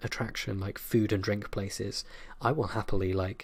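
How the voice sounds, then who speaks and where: Soft-spoken, a man with a British accent talks in a fairly low pitch and monotone, flat intonation on a very clean recording with a silent background. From United Kingdom. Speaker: ASMR creator. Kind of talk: casual Q&A talk to camera.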